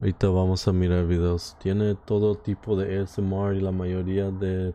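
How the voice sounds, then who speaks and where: A man's very deep, low voice, monotone and flat, at a moderate pace over a quiet background. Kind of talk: casual Spanish chat on stream.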